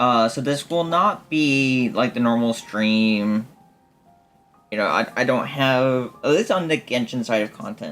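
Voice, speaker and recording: Over music in the background, a man at a medium pitch talks at a fairly slow pace with lively intonation. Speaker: gaming streamer. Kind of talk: live gameplay stream commentary. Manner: loud; halting, many fillers.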